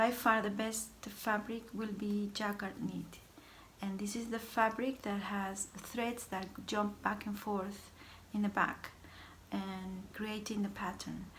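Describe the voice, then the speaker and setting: A woman talks at a very slow pace with a non-native accent. Her medium-pitched voice has monotone, flat intonation. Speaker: sewing instructor. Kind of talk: sewing tutorial talk to camera.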